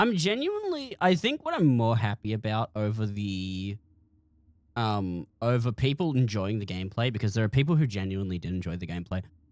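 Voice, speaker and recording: A man with an Australian accent, fairly low pitch, lively intonation and a fairly quick pace. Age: 20s. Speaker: streamer and game modder. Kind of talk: casual live stream chat. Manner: halting, many restarts and fillers.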